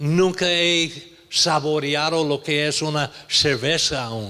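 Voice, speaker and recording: A man's voice sounds bright and sharp, with a fairly high pitch. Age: 70s. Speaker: pastor. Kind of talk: sermon. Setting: church.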